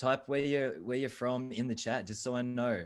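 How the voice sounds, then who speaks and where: This man has an Australian accent. His voice sits at a medium pitch. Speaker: video marketing expert. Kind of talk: webinar talk. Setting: video call.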